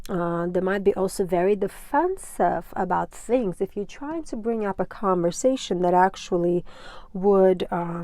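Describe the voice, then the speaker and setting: In a very clean recording with a silent background, a woman with a non-native accent speaks fairly slowly at a medium pitch, her tone dark and mellow, with ordinary pitch variation. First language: not English. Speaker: tarot reader. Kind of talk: tarot reading. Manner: casual, filler-heavy.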